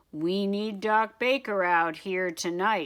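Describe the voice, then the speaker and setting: On a very clean recording with a silent background, a female-sounding put-on character voice speaks at a middle pitch and a fairly slow pace. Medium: read story. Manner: urgent.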